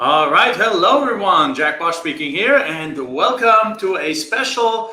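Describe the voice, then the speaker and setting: A man's raised, projected voice with a German accent, high in pitch, at a fairly slow pace, full of very wide pitch swings, with audible room echo. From Germany. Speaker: land investing coach. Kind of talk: live stream talk. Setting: Facebook live video. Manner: halting, many filler words.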